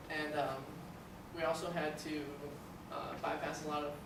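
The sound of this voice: A man speaks at a fairly high pitch for a man, with audible room echo and clear background noise.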